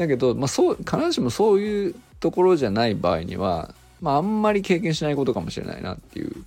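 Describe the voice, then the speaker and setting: Music runs in the background behind a man's voice. He speaks at a fairly quick pace, his pitch swinging very widely. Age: 40s. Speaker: podcast host and meteorologist. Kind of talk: casual solo talk. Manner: rambling with many fillers.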